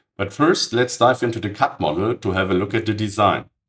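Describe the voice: At a moderate pace, a man speaks in a raspy voice.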